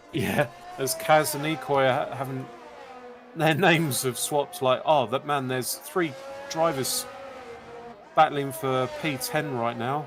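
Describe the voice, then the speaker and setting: A man with a fairly high pitch talks at a fairly slow pace with long, frequent pauses over noticeable background noise. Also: ordinary pitch variation. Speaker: sim racing co-commentator. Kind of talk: live commentary. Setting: live stream.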